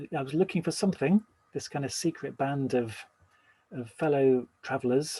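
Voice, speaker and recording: A man speaks at a moderate pace in a fairly high voice with ordinary pitch variation and a dark, mellow tone, the sound dry and close with no echo. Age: 60s. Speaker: Buddhist teacher giving a talk. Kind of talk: dharma talk.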